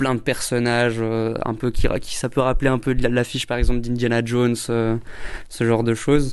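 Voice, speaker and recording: With monotone, flat intonation, a man speaks at medium pitch and a moderate pace. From Belgium. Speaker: film director. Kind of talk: interview. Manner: halting.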